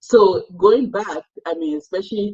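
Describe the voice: The pace is fairly slow, with ordinary pitch variation. The tone is slightly mellow with a slightly husky edge. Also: woman, medium pitch for a woman.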